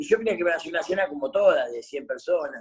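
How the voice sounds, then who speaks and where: A fairly quick pace with ordinary pitch variation. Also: man. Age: 50s. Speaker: former footballer and coach. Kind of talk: casual interview chat.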